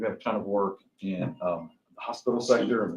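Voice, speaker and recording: A man with a Texas accent at a fairly quick pace, intonation fairly even. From Texas, Tarrant County. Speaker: construction project manager. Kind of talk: self-introduction at a seminar.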